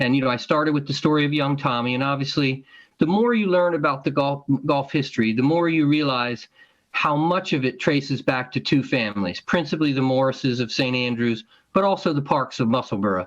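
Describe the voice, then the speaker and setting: Using a normal speaking voice, a man with an American accent speaks at a fairly high pitch with ordinary pitch variation and very even loudness. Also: fairly quick pace. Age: 60s. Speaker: golf historian and author. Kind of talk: interview. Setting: podcast recording.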